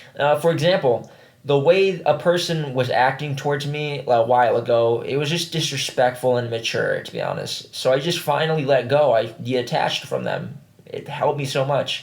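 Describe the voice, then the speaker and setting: Amid noticeable background noise, a man talks at a moderate pace in a fairly high pitch with fairly even intonation. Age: 20s. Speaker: vlogger. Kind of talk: casual chat. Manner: casual, halting with fillers.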